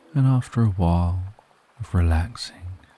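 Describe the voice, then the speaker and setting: Soft-spoken and fairly slow, the voice shows ordinary pitch variation over noticeable background noise. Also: man. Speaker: sleep story narrator. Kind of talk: sleep story. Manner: soft-spoken, slow.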